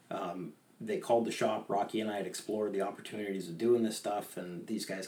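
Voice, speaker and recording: Fairly low male speech with fairly even intonation. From Maine. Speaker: fly tyer and fishing guide. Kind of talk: interview, casual chat.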